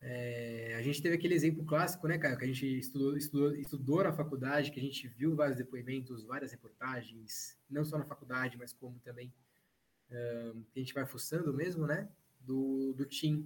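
A somewhat breathy voice at a moderate pace with fairly even intonation. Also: man, medium pitch for a man. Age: 30s. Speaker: journalist. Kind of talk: casual chat.

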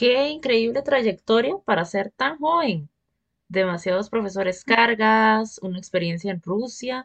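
This woman has an unremarkable speaking voice, fairly high in pitch, with lively intonation and a fairly slow pace. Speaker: podcast host. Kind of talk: interview.

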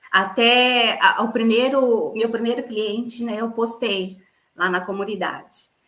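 With audible room echo, a woman speaks very slowly at a fairly high pitch and with fairly even intonation. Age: 40s. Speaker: dentist and gluten-free baker. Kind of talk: interview testimony.

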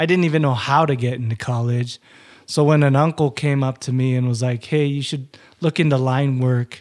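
A man with an American accent talks at a moderate pace in a normal speaking voice, medium in pitch and fairly even in intonation, on a very clean recording with a silent background. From Utah. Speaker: former power lineman, amputee. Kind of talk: interview storytelling.

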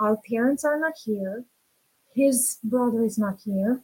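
Woman in a Romanian accent, fairly high pitch, ordinary pitch variation, and moderate pace. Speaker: women's empowerment coach. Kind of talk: interview.

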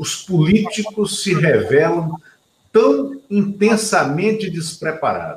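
The speaker talks very slowly, with lively intonation. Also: man. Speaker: political talk show host. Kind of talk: interview.

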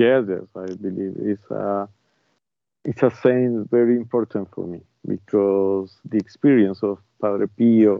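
A man speaks with a Spanish accent. His pace is fairly slow. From Colombia, Bogota. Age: 40s. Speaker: bishop and exorcist. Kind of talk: interview. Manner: halting.

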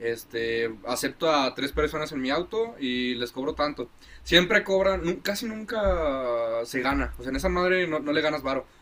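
A man speaks at a moderate pace with lively intonation and a fairly high pitch. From Mexico, Guadalajara. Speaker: podcast co-host. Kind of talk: casual chat. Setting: outdoors. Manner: animated.

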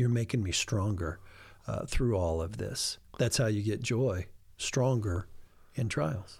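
In a very clean recording with a silent background, a man with a somewhat breathy voice talks at a fairly slow pace with ordinary pitch variation and long, frequent pauses. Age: 50s. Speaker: pastor. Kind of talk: casual chat.

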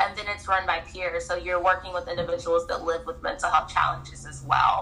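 A woman speaks fairly quickly while noticeable background noise runs underneath. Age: 30s. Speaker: mental health coach. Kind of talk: personal testimony interview.

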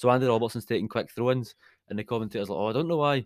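A man at medium pitch with a Scottish accent, very fast and animated, his pitch varying in an ordinary way. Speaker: podcast host, football fan. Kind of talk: casual chat, football podcast banter. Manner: animated, jokey.

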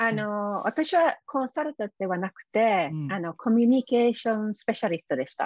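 Against a quiet background in a dry, close recording with no echo, a woman with an English accent speaks at a fairly quick pace, her fairly high pitch swinging very widely and her loudness shifting in big swings. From UK. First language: English (speaking Japanese). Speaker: success coach and author. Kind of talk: interview. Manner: halting, many fillers.

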